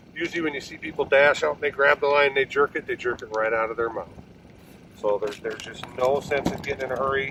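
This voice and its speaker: A very fast-talking man in an American accent, with noticeable background noise behind him. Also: fairly high pitch for a man, fairly even intonation. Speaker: fishing guide or outdoors TV angler. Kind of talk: outdoor fishing show commentary. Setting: ice fishing on a frozen lake.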